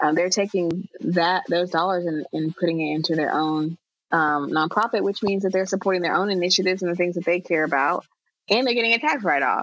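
Fairly low in pitch with ordinary pitch variation, a woman talks at a fairly quick pace and very even loudness. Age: 30s. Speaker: entrepreneur and nonprofit expert. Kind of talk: casual interview chat.

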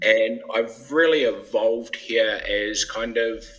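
A man with a New Zealand accent. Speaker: breath training company scientist. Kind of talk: interview.

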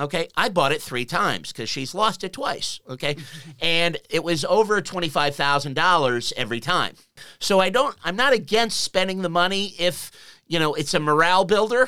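Bright and sharp in tone, a man talks at a moderate pace with a high pitch and lively intonation. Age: 50s. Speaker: radio talk show host. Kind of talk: radio interview. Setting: radio studio.

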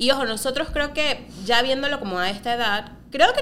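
Her pace fairly quick and her intonation lively, a woman speaks at a high pitch. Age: 30s. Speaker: podcast co-host. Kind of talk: casual chat.

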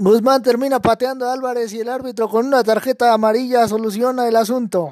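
With hardly any pauses, a man speaks at an extremely high pitch and with fairly even intonation. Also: fairly quick pace. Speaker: football commentator. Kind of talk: live sports commentary. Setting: broadcast of the match.

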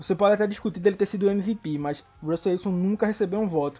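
At a very fast pace, a man talks over background music. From São Paulo (Zona Leste). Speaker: American football blogger. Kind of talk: casual sports chat.

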